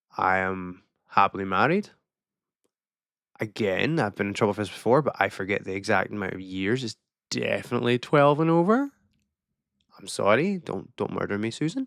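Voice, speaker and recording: With a northern Scottish accent, a man talks at a fairly low pitch with lively intonation and big swings in loudness. He takes long, frequent pauses on a very clean recording with a silent background. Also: moderate pace. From far north of Scotland. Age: 30s. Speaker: vlogger. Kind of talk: casual monologue to camera. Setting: alone in a room on camera. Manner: halting.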